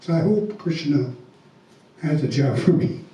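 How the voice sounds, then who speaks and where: A man's voice with audible room echo. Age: 70s. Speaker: congregation member. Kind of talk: personal testimony. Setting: temple Sunday program. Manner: halting.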